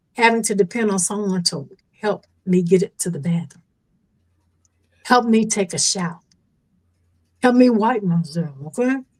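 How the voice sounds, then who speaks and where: Moderate pace, ordinary pitch variation, and a somewhat breathy voice. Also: woman. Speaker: stroke survivor. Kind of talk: testimony.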